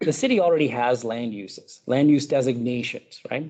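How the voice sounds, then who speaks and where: A man speaks loudly at a medium pitch. His pitch varies in an ordinary way, and his pace is moderate. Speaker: urban planning consultant. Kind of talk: public presentation. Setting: public meeting with audience. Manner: halting, many fillers; speaking up loudly.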